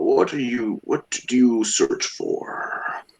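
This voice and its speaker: The man's pace is very slow. He is using a put-on character voice. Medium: actual play. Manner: formal, old-fashioned wording.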